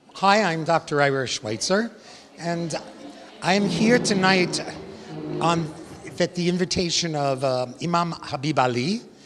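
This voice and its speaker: Over noticeable background noise, a man with an American accent talks at a moderate pace, with a fairly high pitch and lively intonation. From New York. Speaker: educator. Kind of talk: event interview. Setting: gala event.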